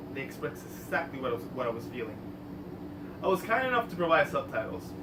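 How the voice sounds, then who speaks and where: Noticeable background noise sits under the recording. A man speaks over it at a very fast pace. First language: Spanish. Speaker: artist and filmmaker. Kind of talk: prepared artist talk. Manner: formal.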